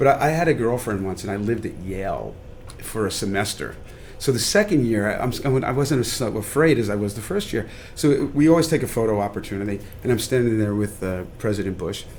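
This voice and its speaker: In a room with audible echo, a man talks very fast in a fairly low voice with ordinary pitch variation. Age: 60s. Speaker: chef and restaurateur. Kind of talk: podcast interview.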